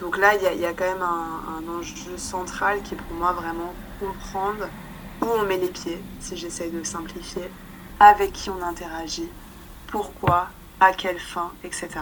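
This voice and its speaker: A woman with a fairly low pitch speaks in a flat monotone at a fairly slow pace, leaving long, frequent pauses, her loudness swinging widely, with audible room echo and noticeable background noise. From Paris, France. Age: 20s. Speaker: humanitarian worker. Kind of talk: interview. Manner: hesitant.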